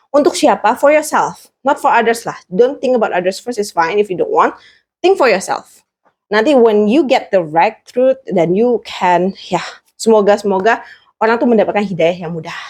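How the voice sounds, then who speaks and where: A woman with an unremarkable speaking voice talks at a moderate pace. Her pitch is fairly high, and her intonation is lively. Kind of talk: interview. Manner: code-switching Indonesian and English.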